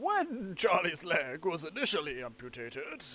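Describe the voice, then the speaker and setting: A man puts on a character voice with high pitch at a moderate pace. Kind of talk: posh, old-fashioned.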